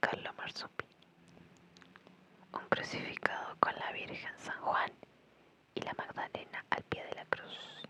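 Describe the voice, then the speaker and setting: A fairly slow whisper over noticeable background noise. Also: woman. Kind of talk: ASMR art history reading. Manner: whispered.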